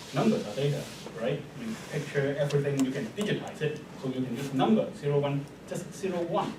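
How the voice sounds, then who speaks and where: A man with a Chinese accent talks at a fairly quick pace in a fairly high voice, with audible room echo and noticeable background noise. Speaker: mathematics professor. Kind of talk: lecture. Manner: hesitant, many fillers.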